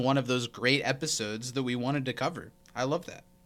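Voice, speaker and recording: A man at a fairly quick pace with music in the background. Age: 20s. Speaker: podcast co-host. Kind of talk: casual chat.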